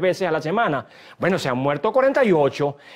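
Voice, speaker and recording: A man speaks fairly quickly at a high pitch, his intonation lively. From Venezuela, Guárico. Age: 60s. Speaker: human rights activist and lawyer. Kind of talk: TV interview. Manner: halting, with repetitions.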